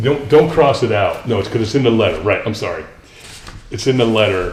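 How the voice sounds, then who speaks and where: Noticeable background noise and audible room echo fill the recording. A man talks at a fairly quick pace with ordinary pitch variation. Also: medium pitch for a man. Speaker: grant administrator. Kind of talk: presentation at a town board meeting. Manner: fast; halting, many fillers.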